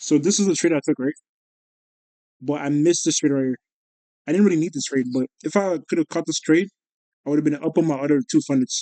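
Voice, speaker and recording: A man's fairly high, dark, mellow voice at a fairly quick pace, with ordinary pitch variation and a dry, close sound with no echo. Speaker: day trader vlogger. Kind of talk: casual trading recap. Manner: fast; animated.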